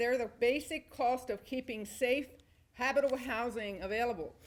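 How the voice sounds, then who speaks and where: A woman speaks loudly at a moderate pace. Her high voice shows ordinary pitch variation. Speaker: landlord speaking at public comment. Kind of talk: prepared public comment speech. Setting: town hall meeting. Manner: formal.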